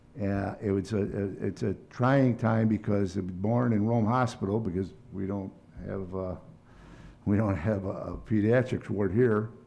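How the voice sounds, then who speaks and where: A man talks at a moderate pace in a fairly low, dark, mellow voice. Room echo is audible. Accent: American. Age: 60s. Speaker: city council member. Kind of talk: council meeting remarks. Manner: halting, many fillers.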